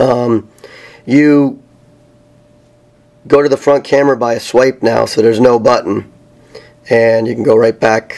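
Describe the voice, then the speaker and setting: A man talks at a medium pitch and fairly slow pace, monotone and flat, over noticeable background noise. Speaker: tech reviewer. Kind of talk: tutorial. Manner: hesitant, many fillers.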